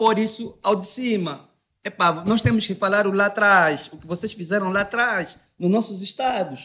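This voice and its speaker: The speaker uses lively intonation and keeps a moderate pace. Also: man. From Angola. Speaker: debate panelist; panelist. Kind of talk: debate. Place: studio. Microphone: studio mic.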